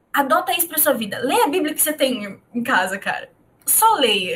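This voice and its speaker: A woman talking at a fairly quick pace. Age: 20s. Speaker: podcast host. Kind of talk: casual chat.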